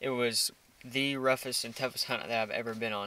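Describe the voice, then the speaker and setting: A man speaks in a bright, sharp tone with monotone, flat intonation. The sound is dry with no echo. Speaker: hunting vlogger. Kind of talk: casual vlog chat. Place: car. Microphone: phone near.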